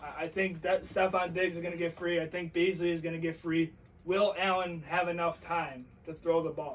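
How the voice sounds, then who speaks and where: A man speaks loudly in a high-pitched voice. His intonation stays monotone and flat. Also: moderate pace. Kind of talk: casual chat.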